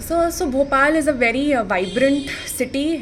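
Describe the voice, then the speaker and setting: Over noticeable background noise, the speaker goes at a fairly slow pace with ordinary pitch variation. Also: woman. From India, raised mainly in Pune. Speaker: interview candidate. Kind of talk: mock interview. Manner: formal; halting.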